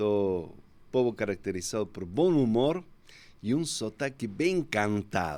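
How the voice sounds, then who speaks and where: In an Argentine accent, a man speaks at a fairly slow pace and a fairly low pitch. His pitch swings very widely on a very clean recording with a silent background. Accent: Argentine Spanish accent, kept after 22 years. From Argentina, Córdoba. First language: Spanish (speaking Portuguese). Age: 50s. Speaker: pastor. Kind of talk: interview.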